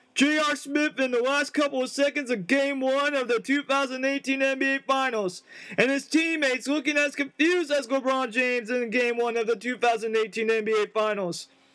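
Music plays in the background as the voice moves at a moderate pace with hardly any pauses, very even loudness and ordinary pitch variation. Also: man, extremely high pitch for a man. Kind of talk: live sports commentary, a mock broadcast of an imagined tournament.

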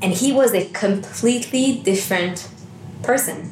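A woman with ordinary pitch variation, noticeable background noise and audible room echo. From Canada, Montreal. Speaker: wellbeing and meditation coach, business co-founder. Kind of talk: interview.

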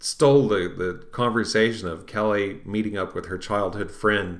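There is audible room echo around the voice. A man with a fairly low pitch speaks at a moderate pace. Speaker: occult podcast host. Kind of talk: reading aloud with commentary. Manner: halting.

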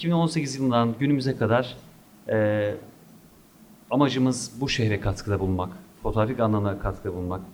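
A man speaks at medium pitch with ordinary pitch variation. He keeps a moderate pace and leaves long, frequent pauses. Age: 30s. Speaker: photography instructor. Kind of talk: interview.

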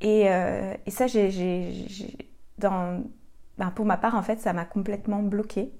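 The tone is dark and mellow. Delivery is very slow, with fairly even intonation. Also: woman, medium pitch for a woman. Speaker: podcast host and coach for sensitive women. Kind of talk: solo podcast monologue. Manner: hesitant, many fillers.

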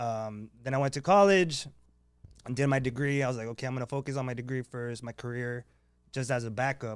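A man with a plain, everyday voice talks fairly quickly in an American accent, at medium pitch with ordinary pitch variation. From Baja California border region. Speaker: power slap fighter. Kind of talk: casual chat. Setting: studio.

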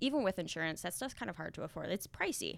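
A woman talks with an Upper Midwest accent. The recording is very clean, with a silent background. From North Dakota. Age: 20s. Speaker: benefits company trainer. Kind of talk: interview.

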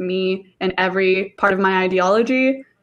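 Over a quiet background, a woman speaks in a normal speaking voice at a medium pitch with fairly even intonation. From Oklahoma, raised there after immigrating from Mexico. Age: 20s. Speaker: immigration policy worker. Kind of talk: casual chat.

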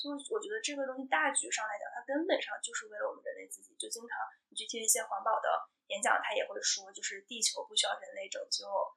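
Talking at a very fast pace, a woman uses a raised, projected voice with very wide pitch swings. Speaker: sustainable lifestyle video blogger. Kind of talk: casual chat.

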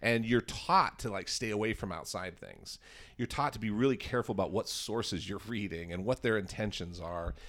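In a very clean recording with a silent background, a man with a plain, everyday voice talks at a fairly quick pace, fairly low in pitch with ordinary pitch variation. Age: 40s. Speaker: comedian and editor. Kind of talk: casual chat. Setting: office.

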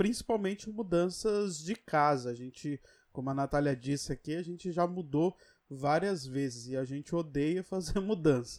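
An ordinary speaking voice from a man, fairly high in pitch, with ordinary pitch variation at a moderate pace on a very clean recording with a silent background. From São Paulo. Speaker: podcast co-host. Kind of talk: casual chat.

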